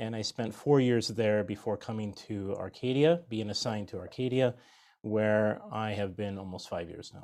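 A man with an American accent and a plain, everyday voice, fairly low in pitch, at a moderate pace, with ordinary pitch variation. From US Pacific Northwest (Washington State and Idaho). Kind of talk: religious instruction interview.

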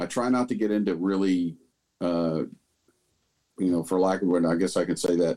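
The voice has a dark, mellow tone and an American accent, moving at a fairly quick pace with ordinary pitch variation. The background is quiet. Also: man. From US South, Huntsville, Alabama. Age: 50s. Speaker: retired police officer. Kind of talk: casual chat.

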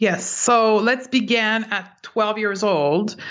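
Her voice is a normal speaking voice, a woman's at medium pitch with fairly even intonation. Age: 40s. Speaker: clinical nutritionist and intuitive eating expert. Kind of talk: interview.

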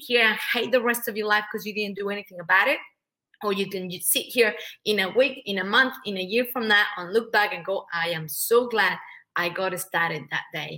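A woman with a Spanish accent talks at a fairly quick pace in a medium pitch, her tone animated, bright and sharp, with ordinary pitch variation. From Mexico. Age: 40s. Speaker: public speaker and business coach. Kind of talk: interview.

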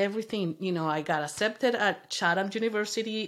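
A woman with a Spanish accent speaks at medium pitch. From Venezuela. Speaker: mother of the host, immigrant. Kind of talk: interview, personal story.

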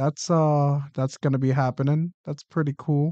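Against a quiet background, a man speaks at a fairly high pitch with a dark, mellow tone. His intonation is monotone and flat, and the sound is dry and close with no echo. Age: 20s. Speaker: podcast host. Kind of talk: casual chat. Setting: studio.

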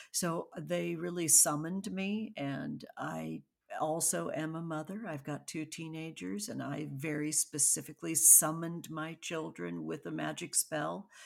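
A woman speaks at a fairly slow pace with hardly any pauses. The recording is very clean, with a silent background. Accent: American. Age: 50s. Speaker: artist and oracle deck creator. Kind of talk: casual interview.

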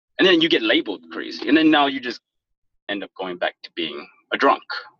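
The sound is dry and close, with no echo at all. An American accent comes through in the speech. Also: man. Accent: proper professional. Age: 30s. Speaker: former IT worker. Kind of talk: casual interview. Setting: phone call.

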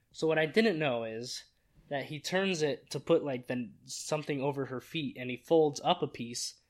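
A man with a fairly high pitch talks at a moderate pace, his pitch varying in an ordinary way. He has a plain, everyday voice on a very clean recording with a silent background. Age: 20s. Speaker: podcast co-host. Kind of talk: casual chat.

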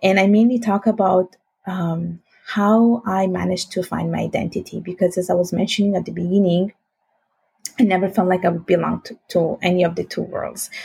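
A woman with an Italian accent, medium in pitch, with a dark, mellow, somewhat breathy tone, fairly even intonation and a fairly quick pace. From Italy (Sicily, then northern Italy). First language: Italian and Bengali. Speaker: finance professional. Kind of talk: casual interview.

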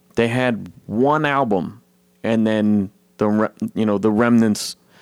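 A man with a plain, everyday voice speaks at a fairly low pitch with fairly even intonation. The sound is dry and close, with no echo. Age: 30s. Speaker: podcast host. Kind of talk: casual chat.

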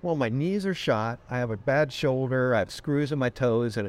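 With an American accent, a man talks at a moderate pace in a medium pitch with lively intonation. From Connecticut. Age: 60s. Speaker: real estate agent. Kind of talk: interview. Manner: energetic.

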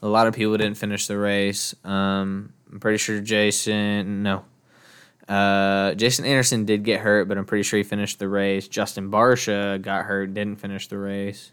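A man's fairly low, monotone, flat voice with an American accent. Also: moderate pace, very clean recording, silent background. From Texas. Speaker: podcast host, sports commentator. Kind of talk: casual solo sports podcast monologue. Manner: casual, many filler words (um, uh).

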